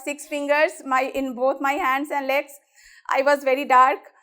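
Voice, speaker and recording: A woman speaks in a high pitch. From Bihar, Muzaffarpur. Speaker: women's rights activist. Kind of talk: motivational talk.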